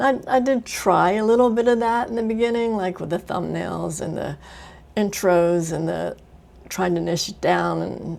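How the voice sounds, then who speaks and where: A woman mumbles at a moderate pace. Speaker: vlogger. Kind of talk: casual monologue. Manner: mumbling; trailing off at sentence ends.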